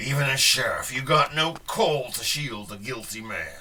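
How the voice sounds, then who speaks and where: A man speaks in a put-on character voice that is raspy and medium in pitch. His pace is moderate. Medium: audio drama.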